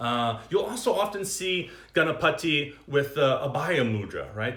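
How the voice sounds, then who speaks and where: Animated, lively intonation from a man of medium pitch, in a room with audible echo. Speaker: yoga and meditation teacher. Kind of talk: livestream dharma talk. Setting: Instagram live stream.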